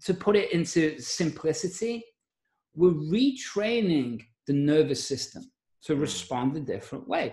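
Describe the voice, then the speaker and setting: This is a male speaker. His voice leaps between very high and very low pitches. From Liverpool, England. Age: 40s. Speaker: mindset coach and podcaster. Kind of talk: casual interview chat.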